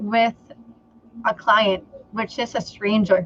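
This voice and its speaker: A woman speaks with a Filipino accent. Her pitch is fairly high. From Philippines. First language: Tagalog. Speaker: entrepreneur and sales trainer. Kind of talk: interview on a live stream.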